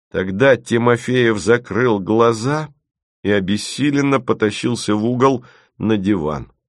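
The background stays quiet. The clip is plain reading aloud with pitch varying in an ordinary way.

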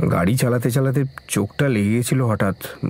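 The voice reads in an unforced way, its pitch varying in an ordinary manner.

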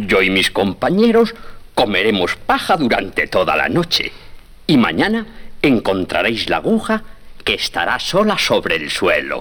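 A man puts on a character voice, fairly low in pitch with a fairly bright tone. He goes at a fairly slow pace with very wide pitch swings.

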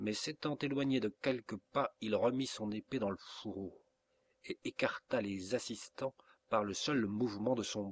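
It is a natural reading voice with ordinary pitch variation over a quiet background.

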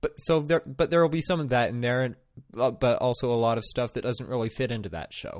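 Ordinary pitch variation runs through a man's medium-pitched voice as he speaks at a fairly quick pace. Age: 20s. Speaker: podcaster and physics student. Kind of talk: casual solo monologue. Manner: halting, many fillers. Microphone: good quality microphone.

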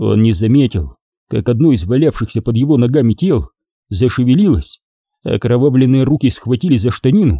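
An unforced reading voice with ordinary pitch variation comes through over a quiet background.

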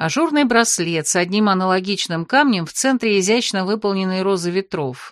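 The speaker reads in an unforced voice.

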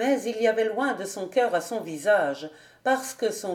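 What we hear is an unforced reading voice.

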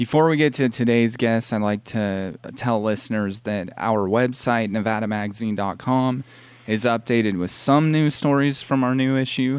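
A man with an American accent talks at a moderate pace in an ordinary speaking voice, medium in pitch with ordinary pitch variation. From California. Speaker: magazine editor and radio host. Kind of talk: radio interview. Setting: live radio show at a mall.

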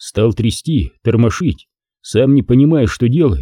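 The clip is plain reading aloud. Pitch varies in an ordinary way against a quiet background.

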